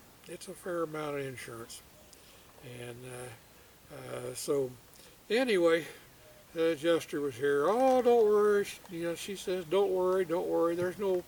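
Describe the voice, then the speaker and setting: This man talks at a moderate pace in a high voice. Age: old. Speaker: storyteller. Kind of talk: casual storytelling to camera. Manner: hesitant, rambling, many filler words.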